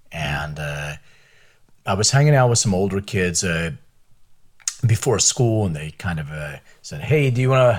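On a very clean recording with a silent background, a man speaks at a moderate pace. His pitch swings very widely, and his pauses are long and frequent. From Philadelphia, US (immigrated from Lithuania at six). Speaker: biotech company CEO. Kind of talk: interview.

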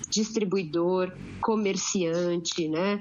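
Here a woman is talking. Her pace is very slow. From Santos, São Paulo state, Brazil. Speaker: geographer and waste sector technical coordinator. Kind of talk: panel discussion. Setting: podcast recording.

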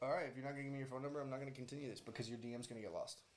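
A man's very fast, fairly high-pitched speech, with noticeable background noise and audible room echo. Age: 20s. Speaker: social media personality. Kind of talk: casual chat. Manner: animated.

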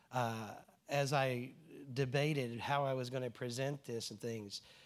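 A medium-pitched man's voice in a Southern US accent, on a very clean recording with a silent background. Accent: Southern US drawl. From New Jersey, US. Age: 60s. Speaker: church speaker, engineer. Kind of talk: testimony. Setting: church gathering with audience.

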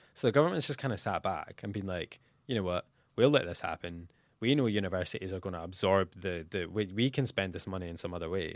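A man with a Dundee accent talks at a very fast pace in a very deep, low pitch with ordinary pitch variation. The recording is very clean, with a silent background. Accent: Scottish (Dundee). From Scotland, Dundee. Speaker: student union president. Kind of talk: podcast interview.

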